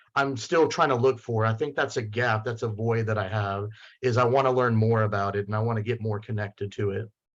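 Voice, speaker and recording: Against a quiet background, a man talks at a moderate pace at medium pitch. He has a normal speaking voice and fairly even intonation. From US, Mexican-American household. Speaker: panelist. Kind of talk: panel discussion.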